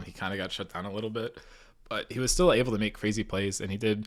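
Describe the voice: A man's put-on character voice, hoarse and raspy, fairly low and delivered at a very fast pace.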